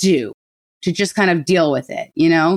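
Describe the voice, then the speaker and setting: A woman talks with an American accent. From New Rochelle, New York. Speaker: mental health activist. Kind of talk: casual interview.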